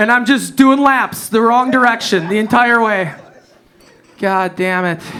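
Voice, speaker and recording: A man's raised, projected, high voice with an American accent, animated and bright, sharp in tone, at a fairly slow pace with ordinary pitch variation. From US Midwest, Wisconsin. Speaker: stand-up comedian. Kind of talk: stand-up. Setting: stage with audience.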